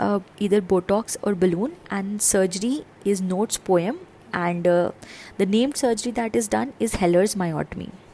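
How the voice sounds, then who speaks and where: With a plain, everyday voice, a woman speaks at a moderate pace and medium pitch, using ordinary pitch variation. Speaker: medical exam tutor. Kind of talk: lecture.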